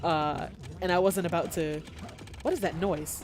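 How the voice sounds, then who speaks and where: A woman talks at a moderate pace over music in the background. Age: 20s. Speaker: video game streamer. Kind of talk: casual let's-play commentary. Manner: rambling with many fillers.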